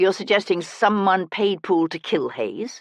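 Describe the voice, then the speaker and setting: Growling at a middle pitch and a moderate pace, a put-on character voice plays out against a quiet background. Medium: read story. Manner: measured, precise.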